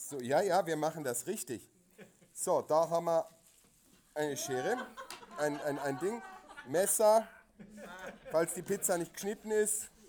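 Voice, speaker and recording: Against noticeable background noise, a man with a high pitch speaks with lively intonation and long, frequent pauses. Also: fairly slow pace. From Asia, German family. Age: 40s. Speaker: podcast co-host and theatre director. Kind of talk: casual chat. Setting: stage with audience.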